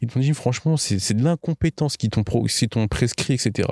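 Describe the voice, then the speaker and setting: A man speaks in a dark, mellow tone at medium pitch with ordinary pitch variation. The recording is very clean and silent behind him, with a dry, close sound and no echo. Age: 20s. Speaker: accident survivor. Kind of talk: interview testimony. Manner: casual, halting with fillers.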